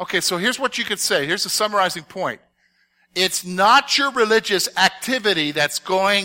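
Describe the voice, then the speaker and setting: Raising and projecting his voice, a man with a bright, sharp tone speaks at a moderate pace with ordinary pitch variation, in a very clean recording with a silent background and a dry, close sound with no echo. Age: 50s. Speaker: Bible teacher. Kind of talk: Bible study lesson. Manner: conversational, frequent check-ins.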